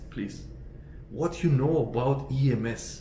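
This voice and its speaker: A man's voice amid light background noise and audible room echo. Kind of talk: casual vlog chat. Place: home room.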